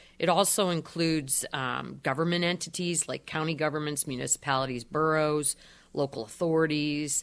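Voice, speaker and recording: A woman's very deep, low voice with a western Pennsylvania accent, on a very clean recording against a silent background. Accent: western Pennsylvania American. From Erie, Pennsylvania. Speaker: energy advisor. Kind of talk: radio interview. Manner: hesitant with frequent fillers.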